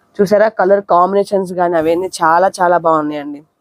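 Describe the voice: At a fast pace, a woman speaks with fairly even intonation. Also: fairly low pitch for a woman, dry, close sound with no echo.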